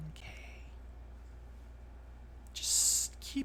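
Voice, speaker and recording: The speaker uses a put-on character voice. Clear background noise can be heard. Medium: actual play. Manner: measured, knowing.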